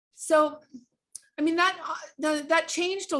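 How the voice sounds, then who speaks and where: A woman talks at a moderate pace. She has a slight Southern California accent. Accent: slight Valley girl. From Orange County, California. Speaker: author and life coach. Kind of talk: interview. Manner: halting.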